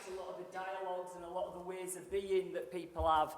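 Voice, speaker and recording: Audible room echo colors the voice of a woman who speaks at a fairly quick pace. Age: 60s. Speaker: sales expert and speaker. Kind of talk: motivational keynote speech. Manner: animated.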